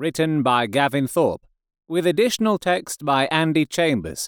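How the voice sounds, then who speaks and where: A man talks at a fairly slow pace with lively intonation in an ordinary speaking voice. The recording is very clean and dry, with a close sound, a silent background and no echo. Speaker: audiobook narrator. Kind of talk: dramatic fiction narration, read aloud. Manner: theatrical, shifting voices for characters.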